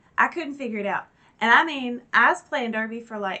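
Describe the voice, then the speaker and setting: Bright and sharp in tone, a woman speaks at a fairly quick pace with lively intonation and an animated tone. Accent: American. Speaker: YouTube reaction creator. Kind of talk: casual chat to camera.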